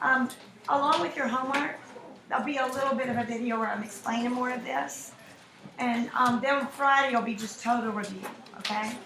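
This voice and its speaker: High-pitched woman at a fairly quick pace, with noticeable background noise and audible room echo. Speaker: math teacher. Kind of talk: lecture. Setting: classroom. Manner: animated.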